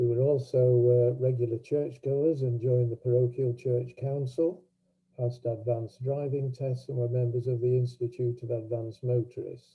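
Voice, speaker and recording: Over music in the background, a man speaks in a monotone with flat intonation. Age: 80s+. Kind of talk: personal talk at online event. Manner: halting.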